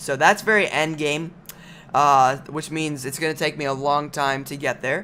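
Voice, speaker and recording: A man talks at a moderate pace. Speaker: gaming YouTuber. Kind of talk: gameplay commentary. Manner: halting, many fillers.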